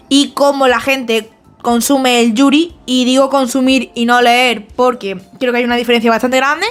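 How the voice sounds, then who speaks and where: A woman's high voice at a moderate pace, with music in the background. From Spain, small town. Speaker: manga video essayist. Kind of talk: casual video essay talk to camera. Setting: home, makeshift recording spot. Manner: chatty, informal.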